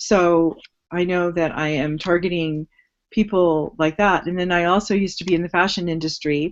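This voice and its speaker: The woman has a plain, everyday voice, fairly low in pitch, with fairly even intonation at a moderate pace. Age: 60s. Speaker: online business guest. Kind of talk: live webinar talk.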